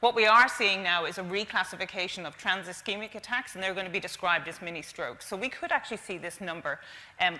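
A woman talking at a very fast pace in an Irish accent, with ordinary pitch variation. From Ireland. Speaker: stroke charity representative. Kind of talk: conference presentation. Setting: stage with audience. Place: stage. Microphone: lapel.

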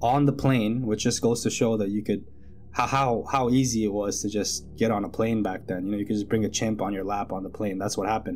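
Here a man talks at a fairly quick pace. His pitch varies in an ordinary way over light background noise. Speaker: storyteller. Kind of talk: casual true-story narration. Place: home room. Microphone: studio mic.

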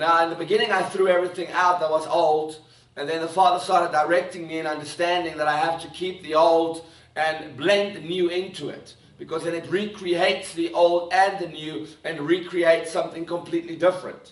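A man speaks at a high pitch in a monotone, flat intonation. Audible room echo is present. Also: fairly quick pace. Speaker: preacher. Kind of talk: sermon. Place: church.

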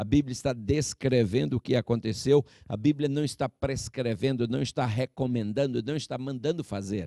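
This man's voice has a dark, mellow tone and a medium pitch, moving at a fairly slow pace. The sound is dry with no echo, over a quiet background. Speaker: preacher. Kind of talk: sermon. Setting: church with a congregation. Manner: earnest, pastoral and exhortative, addressing the congregation as 'queridos' and 'irmãos'; deliberate, with some hesitations and self-corrections. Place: church. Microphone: handheld.

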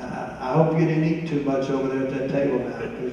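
Strong room echo surrounds a man talking over light background noise. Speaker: church senior ministry class leader. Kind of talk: church tribute presentation. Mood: warm, light-hearted. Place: church.

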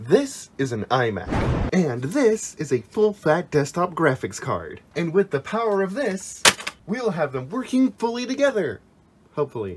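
Amid noticeable background noise, a man speaks at a moderate pace with very wide pitch swings. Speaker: tech YouTuber. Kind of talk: casual tech tutorial talk to camera.

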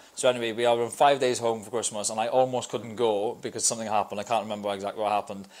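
The man talks at a very fast pace with hardly any pauses. His intonation is monotone and flat. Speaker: podcast guest. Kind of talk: interview answer. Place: studio. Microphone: lapel.

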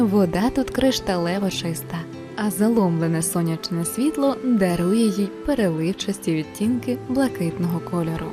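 Music plays in the background while a woman talks. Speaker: voice-over narrator. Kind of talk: documentary narration.

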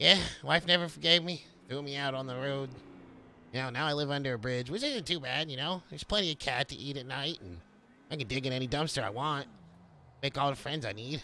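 Using a put-on character voice, a man talks very fast at a medium pitch in a cheerful tone. The recording is very clean with a silent background. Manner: rambling, hesitant, oddly cheerful.

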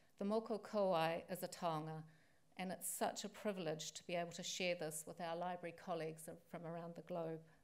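A woman with a fairly low pitch and monotone, flat intonation, talking at a fairly quick pace. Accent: New Zealand. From New Zealand. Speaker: library association president-elect; guest. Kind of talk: formal welcome speech. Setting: stage with audience. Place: hall. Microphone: podium.

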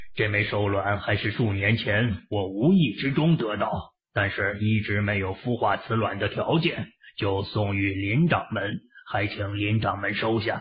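Speaking at a moderate pace, a man uses a fairly low pitch. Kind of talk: classical wuxia formal speech. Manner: deferential, formal, cautious.

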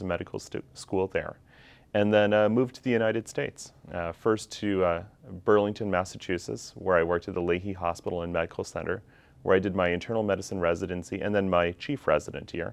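A man speaks at a very fast pace in a fairly low voice. His pitch varies in an ordinary way. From Canada, Calgary, Alberta. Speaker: physician. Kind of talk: self-introduction video. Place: classroom. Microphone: lapel.

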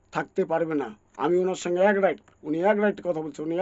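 With his voice pitched high, a man talks with ordinary pitch variation. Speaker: local party activist. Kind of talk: political speech. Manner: impassioned; halting.

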